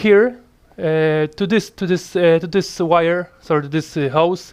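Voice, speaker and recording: A man with a high pitch, a non-native accent and ordinary pitch variation. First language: not English. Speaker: motorcycle mechanic hobbyist. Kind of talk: casual tutorial talk to camera. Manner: hesitant, many fillers.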